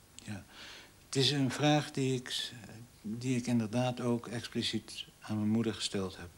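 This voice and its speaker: This man speaks at a fairly slow pace and a medium pitch, keeping his intonation fairly even. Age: 40s. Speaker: interviewee. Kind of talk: interview. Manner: halting. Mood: reflective, serious. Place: home room.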